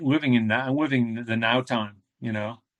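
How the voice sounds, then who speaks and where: A man's plain, everyday voice at medium pitch, with fairly even intonation and a moderate pace. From New England, US (New Hampshire). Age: 50s. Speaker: ultramarathon runner. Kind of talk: interview conversation. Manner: casual, rambling with fillers.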